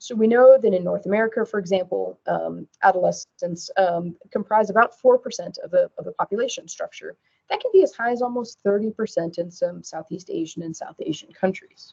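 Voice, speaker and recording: Talking at a fairly quick pace with hardly any pauses, a woman's voice makes big swings in loudness. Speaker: pediatric TB physician. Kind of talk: webcast lecture. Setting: webcast presentation. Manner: soft-spoken. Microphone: too quiet.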